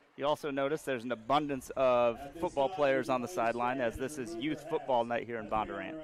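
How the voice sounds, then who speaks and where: Speaking with an American accent, a man uses an ordinary speaking voice at medium pitch, with ordinary pitch variation, a fairly quick pace and hardly any pauses. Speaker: high school football announcer. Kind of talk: live sports commentary. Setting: stadium broadcast booth.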